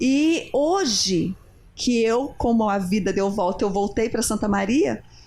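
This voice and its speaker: A very slow, somewhat breathy voice with a dark, mellow tone, lively intonation and very even loudness, in a very clean recording with a silent background. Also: woman, fairly high pitch for a woman. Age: 40s. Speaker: TV talk show co-host. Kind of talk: TV talk show interview.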